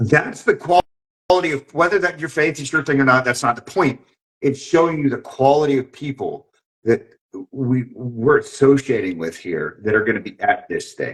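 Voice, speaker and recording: A man talks with vocal fry and lively intonation. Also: fairly high pitch for a man, moderate pace. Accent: American. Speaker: podcast host. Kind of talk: casual chat. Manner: animated.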